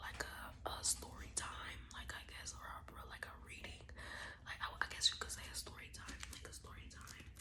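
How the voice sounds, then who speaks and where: Whispering against noticeable background noise. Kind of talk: casual talk to camera.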